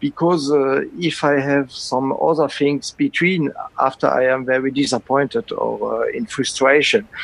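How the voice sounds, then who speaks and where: A man speaks with a French accent. His pace is fairly slow, with hardly any pauses. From France. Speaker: concert organist and music professor. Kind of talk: interview. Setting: online call. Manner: halting.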